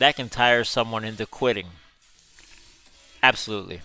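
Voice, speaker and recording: Music plays in the background as a man speaks at a moderate pace. He has an American accent and a medium pitch. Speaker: gaming streamer. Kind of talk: live gameplay stream chat. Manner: casual, chatty.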